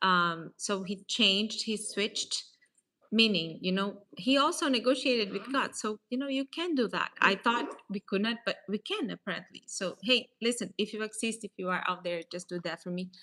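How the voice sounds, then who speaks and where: Her voice is fairly high and bright, sharp in tone, as this woman speaks at a moderate pace with lively intonation. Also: dry, close sound with no echo. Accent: Portuguese. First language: Portuguese. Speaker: real estate advisor. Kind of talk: casual faith talk / motivational vlog. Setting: at a table, self-recorded. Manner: hesitant, many fillers.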